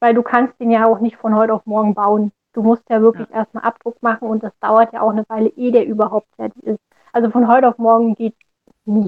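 A woman's fairly high, monotone, flat voice at a very fast pace. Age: 20s. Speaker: orthopedic shoemaker. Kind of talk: interview.

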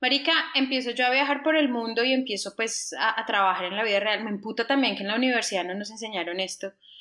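Over noticeable background noise, a woman with a fairly high pitch talks at a very fast pace with hardly any pauses and ordinary pitch variation. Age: 40s. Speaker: travel podcast co-host. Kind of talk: casual chat.

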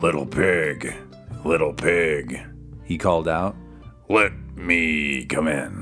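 Over clear background music, a man growls in a put-on character voice at a very slow pace. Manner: coaxing.

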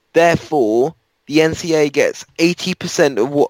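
In a dry, close sound with no echo, a man with an unremarkable speaking voice talks fairly high, his pitch varying in an ordinary way. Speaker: podcast co-host, wheelchair user. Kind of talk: casual sports debate.

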